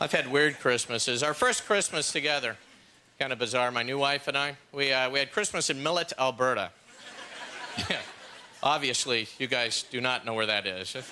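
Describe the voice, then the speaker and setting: A medium-pitched man at a moderate pace, ordinary pitch variation, long, frequent pauses and noticeable background noise. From Los Angeles, California. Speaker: stand-up comedian. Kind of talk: stand-up comedy set.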